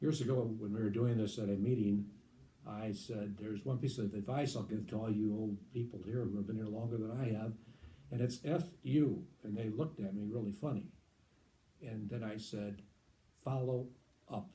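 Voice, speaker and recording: Somewhat breathy and dark, mellow in tone, the voice shows ordinary pitch variation and long, frequent pauses. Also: man, fairly low pitch for a man, moderate pace. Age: 70s. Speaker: veteran lighting salesman. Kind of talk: interview. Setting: video interview under lights.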